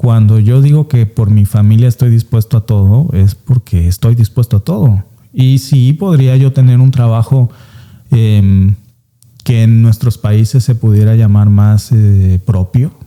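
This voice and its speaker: Speaking fairly slowly with a strong Veracruz accent, a man has a medium pitch, a dark, mellow tone, very even loudness and ordinary pitch variation, in a dry, close sound with no echo. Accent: strong coastal Veracruz Mexican. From Mexico, coastal Veracruz (Alvarado). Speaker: immigrant, former lawyer. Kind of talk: interview.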